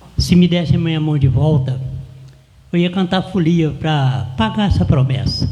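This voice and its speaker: A man with fairly high pitch, ordinary pitch variation and moderate pace, amid noticeable background noise and audible room echo. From Brazil, interior of Rio de Janeiro state (Porciúncula). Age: 70s. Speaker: cordel poet and folia de reis singer. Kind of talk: interview, personal life story.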